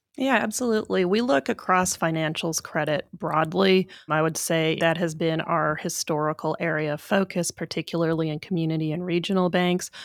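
A woman speaks in a normal speaking voice at a fairly low pitch and a fairly quick pace. The recording is very clean, with a silent background. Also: ordinary pitch variation, hardly any pauses. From western Canada (Vancouver). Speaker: portfolio manager. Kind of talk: interview.

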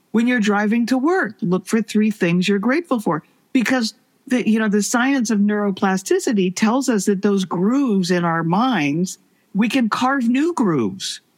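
This woman's voice sits fairly high, with lively intonation and a somewhat breathy quality. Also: moderate pace. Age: 70s. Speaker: author and speaker. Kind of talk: casual interview conversation.

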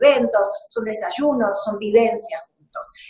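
Her voice is high, and she is a woman speaking at a fairly slow pace. The delivery stays unhurried throughout. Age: 50s. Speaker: TV network executive. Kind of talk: interview. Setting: video call from office. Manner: halting, with frequent repetitions.

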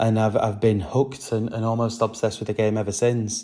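A man's dark, mellow voice at medium pitch and a very fast pace, with a British accent, on a very clean recording with a silent background. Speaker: podcaster and fan. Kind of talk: casual chat.

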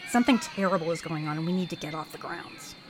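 Noticeable background noise sits under a woman's voice. She talks very fast at a medium pitch. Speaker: voice actor playing characters. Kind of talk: acted audio drama dialogue.

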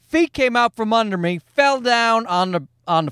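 Pitched extremely high for a man, this voice speaks at a fairly slow pace in a dry, close recording with no echo, very clean, against a silent background. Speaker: podcast host. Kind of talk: casual, profane, joking. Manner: rambling storyteller.

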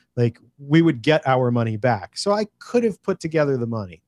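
A man with an American accent speaks fairly quickly in an unremarkable speaking voice, fairly high-pitched, in a very clean recording with a silent background and a dry, close sound with no echo. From California. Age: 40s. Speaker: independent filmmaker. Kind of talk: interview storytelling.

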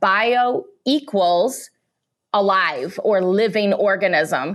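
Against a quiet background, a woman with a Midwestern US accent speaks with lively intonation. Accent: US Midwest. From rural Illinois, US Midwest. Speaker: chemical technology executive. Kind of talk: interview.

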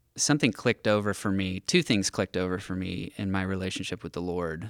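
In a very clean recording with a silent background and a dry, close sound with no echo, a man with an American accent talks at a moderate pace with fairly even intonation. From US West Coast. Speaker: pastor. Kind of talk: casual chat. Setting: studio.

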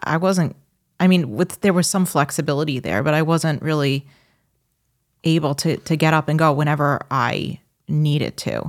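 Set against a very clean recording with a silent background, the speech has a New York accent, ordinary pitch variation, a moderate pace and long, frequent pauses. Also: woman. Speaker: podcast co-host. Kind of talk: casual chat.

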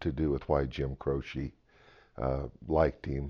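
A man speaks at a very deep, low pitch. His delivery is fairly slow and flat, in a monotone. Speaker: rancher, friend's father. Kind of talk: elder life story, reminiscing. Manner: slow, halting with frequent uhs; warm, fond, plainspoken storytelling.

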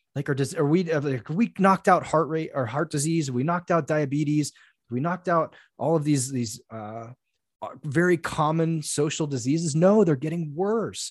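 A normal speaking voice from a man, fairly high in pitch, with ordinary pitch variation, a moderate pace and a quiet background. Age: 40s. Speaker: men's coach. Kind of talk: casual interview conversation.

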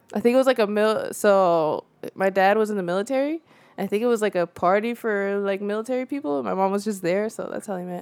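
A woman with a Central Californian accent speaks very fast at a medium pitch on a very clean recording with a silent background. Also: ordinary pitch variation. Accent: Central California English. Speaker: documentary filmmaker. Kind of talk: casual interview. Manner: laughs often.

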